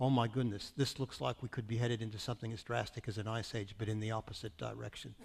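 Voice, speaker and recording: With an American accent, a somewhat breathy man speaks at a very fast pace, a medium pitch, and fairly even intonation. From US Midwest, Iowa. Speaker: climate scientist. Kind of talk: panel discussion.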